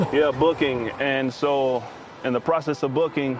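Against noticeable background noise, a man with an American accent speaks at a moderate pace and a medium pitch. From Indianapolis, Indiana, US Midwest. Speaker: former prisoner sharing testimony. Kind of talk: testimony. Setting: outdoors at a park.

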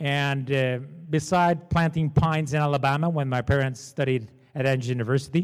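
On a very clean recording with a silent background, a man speaks at a moderate pace with a Portuguese accent. His fairly high pitch carries fairly even intonation. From Portugal. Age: 40s. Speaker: entrepreneur and panel moderator. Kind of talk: seminar panel discussion. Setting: stage with audience. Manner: informal.

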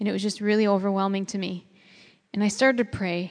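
A woman with an American accent talks at a medium pitch with fairly even intonation. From US Midwest (Chicago). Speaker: seminar speaker. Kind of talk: testimony.

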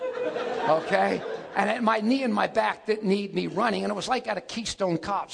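Noticeable background noise is present. Over it, a man talks in an animated tone. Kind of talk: life story telling. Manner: animated, punchy storyteller with comic asides and laughter; conversational, casual, fast-paced.

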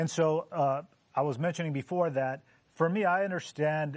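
Here a man talks in an unremarkable speaking voice with ordinary pitch variation. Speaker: panelist. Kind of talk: casual Bible discussion. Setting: studio.

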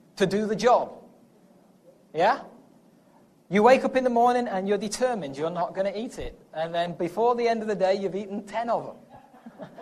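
A man's high-pitched voice with an English accent, fairly quick in pace yet broken by long, frequent pauses, with audible room echo. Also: ordinary pitch variation. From England. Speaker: preacher. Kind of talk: sermon.

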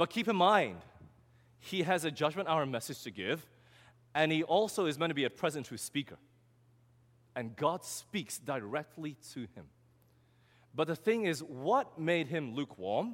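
At a moderate pace, the speaker uses long, frequent pauses, vocal fry and very wide pitch swings on a very clean recording with a silent background. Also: man, fairly high pitch for a man. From Australia. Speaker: preacher. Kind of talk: sermon.

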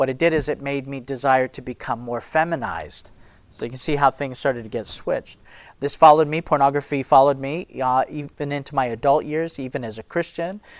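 A man with an ordinary speaking voice talks at a fairly quick pace in a fairly high pitch with fairly even intonation, on a very clean recording with a silent background. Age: 50s. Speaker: ministry leader and speaker. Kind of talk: sermon-style talk to an audience.

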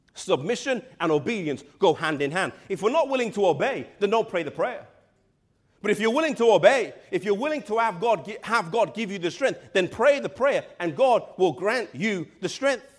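A man speaks in a high register with an English accent. His pitch swings very widely. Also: moderate pace. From England. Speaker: pastor. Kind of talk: sermon.

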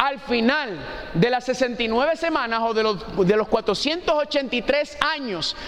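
A man speaks in an animated tone against noticeable background noise. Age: 40s. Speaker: preacher. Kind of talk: sermon.

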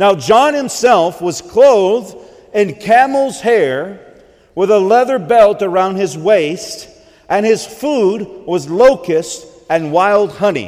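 Pitched high with very wide swings, a man with an American accent speaks at a fairly slow pace over noticeable background noise. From US South. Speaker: preacher. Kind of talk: sermon.

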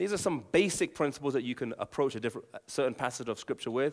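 A man with an English accent at a fairly quick pace, in a very clean recording with a silent background. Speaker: Bible teacher and former evangelist. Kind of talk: Bible teaching talk with prayer. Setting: live audience with slides. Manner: fast talker.

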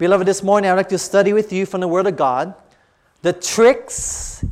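The speaker's tone is animated. It's a very clean recording with a silent background. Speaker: preacher. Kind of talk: sermon. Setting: church with congregation. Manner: animated, call-and-response preaching, urging the congregation to say amen; earnest, direct, pastoral.

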